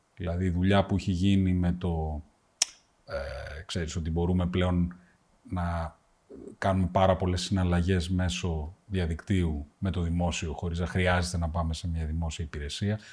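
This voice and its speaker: A man's very deep, low voice comes out somewhat breathy. He speaks at a fairly slow pace with monotone, flat intonation. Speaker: podcast host, business owner. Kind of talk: interview.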